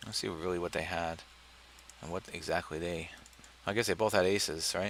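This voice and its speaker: This man speaks at a fairly quick pace in a very deep, low pitch, with fairly even intonation. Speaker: poker vlogger. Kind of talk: live gameplay commentary. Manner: low-energy, flat.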